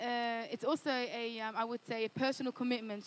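A woman with an Australian accent, high pitch, fairly even intonation and a fairly quick pace. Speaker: Bible college student. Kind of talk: interview testimony. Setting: church.

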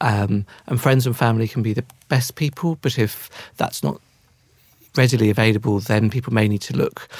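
Somewhat breathy, a man speaks with ordinary pitch variation and long, frequent pauses. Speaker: loneliness campaign director, expert guest. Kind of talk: panel discussion.

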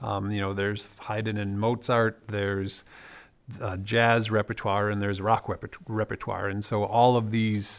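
A man with an American accent speaks at a fairly low pitch. His delivery is fairly slow, with monotone, flat intonation. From US Midwest (Wisconsin). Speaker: music theorist, professor. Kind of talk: casual chat.

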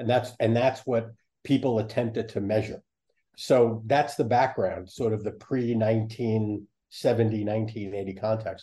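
At a very slow pace, a man talks in a dark, mellow, somewhat breathy tone with monotone, flat intonation at a medium pitch. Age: 70s. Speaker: psychologist and professor. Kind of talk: interview.

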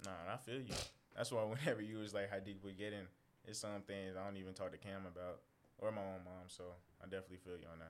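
A man's fairly low-pitched voice at a very fast pace, with fairly even intonation. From US Midwest (St. Louis). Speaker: college student. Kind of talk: casual chat.

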